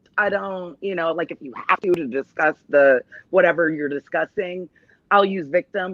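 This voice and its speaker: A woman with a Rhode Island accent, medium in pitch with ordinary variation, at a moderate pace, in a dry, close sound with no echo. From Texas, Austin. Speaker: talk show guest, domestic violence survivor. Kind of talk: casual chat interview.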